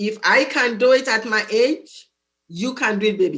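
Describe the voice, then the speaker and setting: With an African accent, the speaker uses ordinary pitch variation. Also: woman. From Nigeria. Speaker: student advisor. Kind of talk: interview. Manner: animated.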